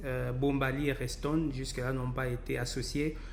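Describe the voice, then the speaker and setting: A man at a moderate pace amid audible room echo. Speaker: professor, virologist. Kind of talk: lecture. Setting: recorded webinar presentation. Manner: halting, many fillers.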